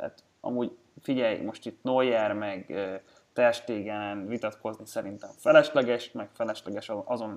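In a normal speaking voice, someone talks at a fairly slow pace with fairly even intonation and big swings in loudness. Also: man, medium pitch for a man. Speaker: sports betting podcast host. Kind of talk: casual chat.

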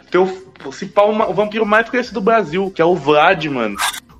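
Noticeable background noise is heard throughout. The delivery is fairly quick, with ordinary pitch variation. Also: man. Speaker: podcast host. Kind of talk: casual chat; ad read. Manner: animated.

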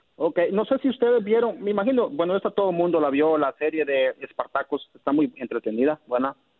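A man with a high pitch, very wide pitch swings, very even loudness, a fairly quick pace and hardly any pauses. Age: 20s. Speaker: caller. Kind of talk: casual chat.

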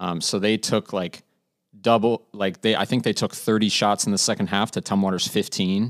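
A man's fairly low, monotone, flat voice at a moderate pace, dry and close with no echo. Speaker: sports editor.

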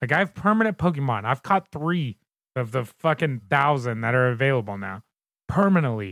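A man with an American accent talks at a fairly high pitch, with very wide pitch swings. The recording is very clean with a silent background and a dry, close sound with no echo. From Southern Indiana, near Louisville. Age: 30s. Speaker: podcast host. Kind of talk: casual chat.

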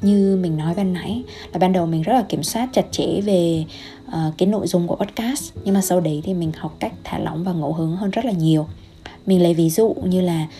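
Noticeable background noise sits behind a woman with a fairly low pitch and a gentle tone. She speaks at a fairly quick pace with ordinary pitch variation. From Vietnam. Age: young. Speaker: health coach and podcaster. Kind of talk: solo podcast monologue.

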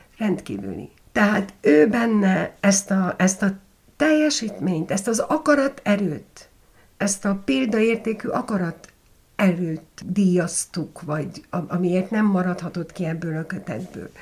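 This woman speaks at a very slow pace with a medium pitch. Her intonation is lively and her voice somewhat breathy. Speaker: journalist and documentary maker. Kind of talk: interview. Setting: at her home.

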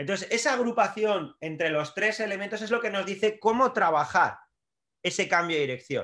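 A man projects a raised, high-pitched voice with a bright, sharp tone and lively intonation at a moderate pace. The recording is very clean, with a silent background. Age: 40s. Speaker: strength and conditioning coach, trainer educator. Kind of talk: podcast interview.

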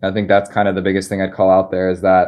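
This man's pitch is fairly low. He speaks with an American accent. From US Northeast, Philadelphia. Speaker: crypto investor and community builder. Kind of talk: live interview. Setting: live online voice chat.

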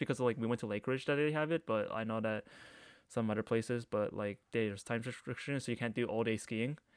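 On a very clean recording with a silent background and a dry, close sound with no echo, a man with a Canadian accent talks fairly quickly at a medium pitch in an ordinary speaking voice. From Canada, Markham, Ontario. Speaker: podcast co-host. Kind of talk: casual chat.

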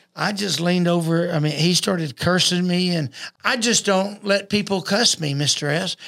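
In a Texan accent, a man speaks in a high voice at a moderate pace with fairly even intonation. The recording is very clean, with a silent background. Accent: Texan Southern US. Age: 60s. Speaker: boxing coach and former boxer. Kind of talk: casual podcast chat.

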